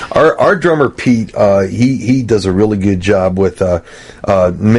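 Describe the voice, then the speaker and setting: Noticeable background noise runs under this recording. A man speaks at a fairly slow pace with a fairly low pitch. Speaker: rock band singer and musician. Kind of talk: casual chat.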